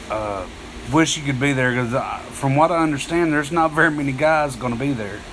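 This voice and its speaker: Amid noticeable background noise and audible room echo, a man with an East Texas accent speaks at a fairly high pitch and a fairly quick pace with ordinary pitch variation. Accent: East Texas Southern US. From northeast Texas (Texarkana area). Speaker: outdoorsman livestreamer. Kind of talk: casual live stream chat. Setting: live stream. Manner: halting, many fillers.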